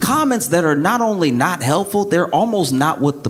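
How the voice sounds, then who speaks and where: A man's high pitch with very wide pitch swings over noticeable background noise. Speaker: stand-up comedian and podcast host. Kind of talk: stand-up comedy set, conversational.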